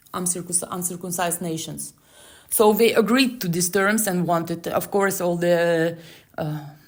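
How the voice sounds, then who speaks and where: Amid audible room echo, a woman with a non-native accent talks at a moderate pace and fairly low pitch, with fairly even intonation. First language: not English. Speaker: Torah teacher. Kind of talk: scripture commentary. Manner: halting.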